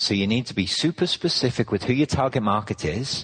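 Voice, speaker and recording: A man's medium-pitched, somewhat breathy voice with an English accent, lively intonation and a moderate pace, over a quiet background. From England. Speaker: business consultant. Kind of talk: interview.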